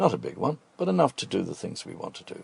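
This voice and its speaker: A man talks with a Dublin accent. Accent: Dublin Irish. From Ireland, Dublin. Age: 70s. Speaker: restaurant owner and cook. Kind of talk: radio interview.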